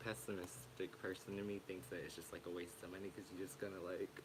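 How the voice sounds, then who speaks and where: Noticeable background noise runs under this recording. A man speaks with a fairly low pitch. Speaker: tarot reader streamer. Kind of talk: live stream tarot reading. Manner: soft-spoken; hesitant, filler-heavy.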